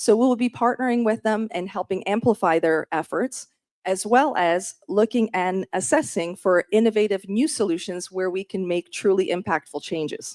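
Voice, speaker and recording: A woman speaks in an ordinary speaking voice at a moderate pace and medium pitch, with ordinary pitch variation, in a dry, close sound with no echo and a very clean recording over a silent background. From Canada. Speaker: state surgeon general. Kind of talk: formal presentation. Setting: meeting room with audience.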